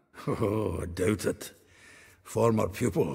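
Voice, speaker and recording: A man's put-on character voice, raspy and fairly low-pitched, at a fairly slow pace. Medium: video game. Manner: chuckling, hearty.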